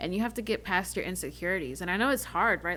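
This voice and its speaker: In a very clean recording with a silent background, a woman speaks at a medium pitch with ordinary pitch variation and an unremarkable speaking voice. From North Carolina, Charlotte. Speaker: podcast co-host. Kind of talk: casual chat.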